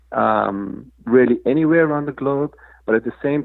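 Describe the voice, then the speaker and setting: A man speaks at a fairly slow pace. He has a slight South African accent. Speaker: crypto foundation executive. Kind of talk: interview. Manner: halting, many fillers.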